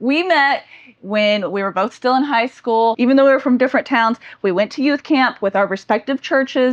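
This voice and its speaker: A woman with a high pitch at a moderate pace. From Florida, near Tallahassee. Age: 30s. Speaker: YouTuber. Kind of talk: casual chat.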